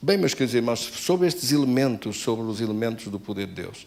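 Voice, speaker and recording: Lively intonation marks this man's medium-pitched voice, an ordinary speaking voice. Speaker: pastor. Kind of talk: sermon.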